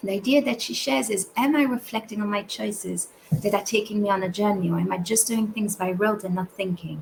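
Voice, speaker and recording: A woman with a non-native accent speaks at a fairly quick pace over noticeable background noise. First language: not English. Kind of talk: recorded talk. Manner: halting.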